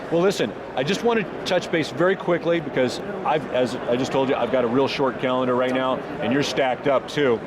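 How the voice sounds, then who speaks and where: Noticeable background noise and audible room echo accompany a man speaking at a medium pitch. His pitch varies in an ordinary way, and his loudness stays very even. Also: fairly quick pace. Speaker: interviewer. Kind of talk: interview. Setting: trade show floor. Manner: fast.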